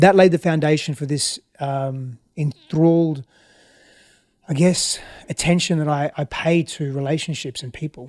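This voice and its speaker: In an Australian accent, a man speaks at a fairly slow pace with a fairly high pitch and fairly even intonation, though his loudness swings widely. The recording is very clean with a silent background, and the sound is dry and close with no echo. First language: Greek. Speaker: relationship expert. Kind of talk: interview. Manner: reflective, halting.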